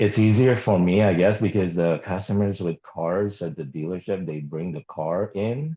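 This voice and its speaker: Mumbling at a moderate pace with hardly any pauses, a man with a very deep, low pitch and a dark, mellow tone shows ordinary pitch variation over a quiet background. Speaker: automotive service writer, group call participant. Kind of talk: casual group video call discussion.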